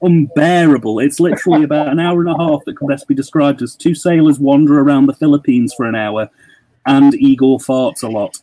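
Music plays in the background as a man with a British accent talks at a moderate pace in a fairly high voice, the sound dry and close with no echo. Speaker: podcast guest, horror YouTuber. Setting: online call.

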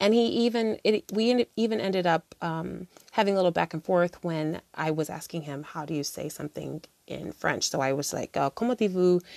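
A woman with an American accent uses an ordinary speaking voice, fairly low in pitch with lively intonation, and the sound is dry and close with no echo. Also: fairly quick pace. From United States. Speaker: podcast host. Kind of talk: solo podcast monologue, casual reflections. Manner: casual, conversational, many filler words.

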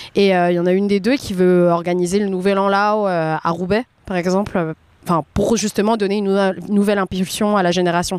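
The delivery is monotone and flat, at a moderate pace. Loudness stays very even throughout. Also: woman, medium pitch for a woman. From France. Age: 20s. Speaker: café owner, entrepreneur. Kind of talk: casual interview.

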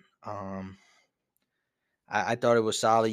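On a very clean recording with a silent background, a man with a New York accent talks at a moderate pace. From New York, Brooklyn. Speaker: podcast host. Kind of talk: casual solo podcast talk.

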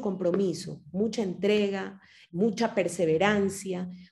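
A woman's somewhat breathy voice, medium in pitch, with a dark, mellow tone. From Ecuador. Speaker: podcast host. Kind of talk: interview.

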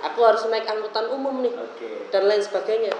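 With audible room echo and noticeable background noise, a man talks at a moderate pace in a high pitch. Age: 20s. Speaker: university student and political party cadre. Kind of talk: casual interview.

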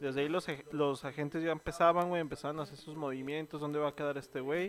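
Fairly quick speech from a man with fairly high pitch, music in the background. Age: 20s. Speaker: podcast co-host. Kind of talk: casual chat. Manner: animated.

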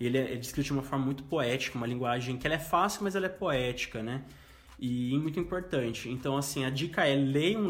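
A man talks at a fairly quick pace with a fairly high pitch, ordinary pitch variation and a somewhat breathy sound. Audible room echo surrounds his voice. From interior of São Paulo state, Brazil. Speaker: journalist. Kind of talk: casual chat.

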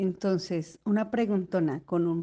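At a very slow pace, a woman speaks with a dark, mellow tone, fairly low pitch and fairly even intonation. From Colombia, Bogotá. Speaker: surgical instrument technician. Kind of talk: recorded personal testimony.

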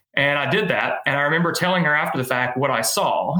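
With an American accent and ordinary pitch variation, the speaker comes through with audible room echo. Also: man. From Middle Tennessee, US South. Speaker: race director and event business owner. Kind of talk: casual interview.

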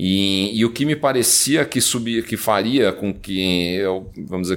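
A man with a normal speaking voice is talking. His pitch is fairly low, with ordinary variation. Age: 40s. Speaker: tech company CEO. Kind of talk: interview.

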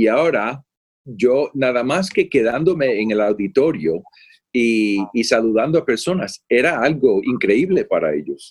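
At a fairly slow pace, a man speaks in a medium-pitched voice with very wide pitch swings. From Puerto Rico, moved to Florida at eight. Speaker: pastor and theology professor. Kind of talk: interview conversation.

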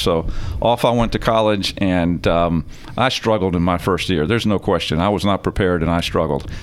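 Talking at a very fast pace with ordinary pitch variation, a man comes through noticeable background noise. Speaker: company president and CEO. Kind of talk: casual interview chat. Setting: on location at a business. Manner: informal, friendly.

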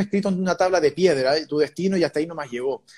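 A man's high-pitched voice with a dark, mellow tone and ordinary pitch variation. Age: 20s. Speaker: tarot reader and physiotherapist. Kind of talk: interview. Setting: live video stream.

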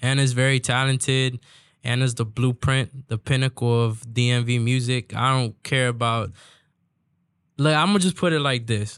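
A man with an ordinary speaking voice and an American accent, medium in pitch, at a moderate pace with fairly even intonation and very even loudness, on a very clean recording with a silent background. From DMV area (Washington DC region), Salvadoran family. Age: 20s. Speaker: corrido singer. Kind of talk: casual interview.

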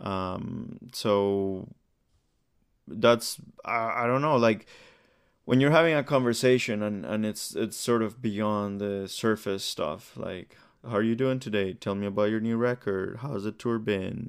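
Speaking in a plain, everyday voice, a man with a fairly low pitch talks at a fairly slow pace with ordinary pitch variation. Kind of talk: casual interview.

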